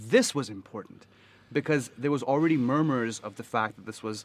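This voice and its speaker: At a moderate pace, a man with an American accent speaks with ordinary pitch variation. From US South. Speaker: podcast guest. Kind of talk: casual chat. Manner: animated.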